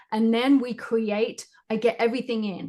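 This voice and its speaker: With a British accent, a woman speaks at a moderate pace and with fairly even intonation against a quiet background. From Great Britain. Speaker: psychic medium and spiritual teacher. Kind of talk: interview answer.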